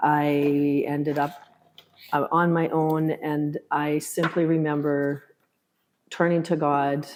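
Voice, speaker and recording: A woman with a Canadian accent speaks in a very deep, low pitch with monotone, flat intonation. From Canada, Kenora, northwestern Ontario. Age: 60s. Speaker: retired teacher. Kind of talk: interview testimony. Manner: hesitant.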